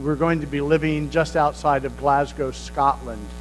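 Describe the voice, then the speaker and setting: A man with an American accent at a moderate pace, music playing in the background. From United States. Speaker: pastor. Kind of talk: sermon.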